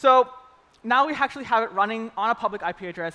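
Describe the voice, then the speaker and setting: A man's high, raised and projected voice, bright and sharp in tone, with lively intonation. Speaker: developer advocate giving a conference talk. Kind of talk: live coding demo talk. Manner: fast; casual, upbeat.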